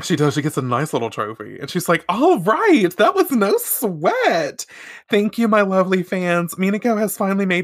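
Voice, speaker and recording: A woman with an American accent speaks in a medium pitch with an animated tone. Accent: Southern, shows at times. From US South. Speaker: podcast co-host recapping a show. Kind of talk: casual chat.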